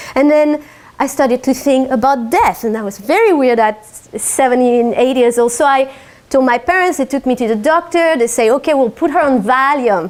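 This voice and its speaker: With a slight French accent, the voice moves at a moderate pace with ordinary pitch variation. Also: woman, high pitch for a woman. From France. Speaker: life and business coach. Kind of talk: talk to a live audience.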